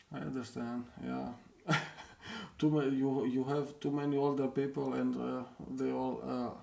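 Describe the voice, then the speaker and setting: A man at a fairly slow pace, with long, frequent pauses, audible room echo and noticeable background noise. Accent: non-native. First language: not English. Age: 40s. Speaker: indie game developer and streamer. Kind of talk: live stream chat with viewers. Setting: live stream. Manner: halting, many hesitations and repeats. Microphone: poor microphone.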